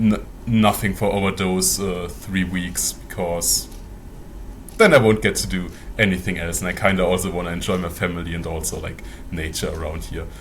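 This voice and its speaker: A man with a very deep, low voice talks at a moderate pace with ordinary pitch variation, and the room echo is audible. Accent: German. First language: German. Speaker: mortician and tabletop game master, video creator. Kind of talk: casual interview. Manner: hesitant, many fillers.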